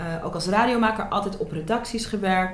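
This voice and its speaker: With audible room echo, a woman speaks at a moderate pace and a fairly high pitch, with ordinary pitch variation. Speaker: TV presenter and media entrepreneur. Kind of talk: interview. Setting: club room in Amsterdam.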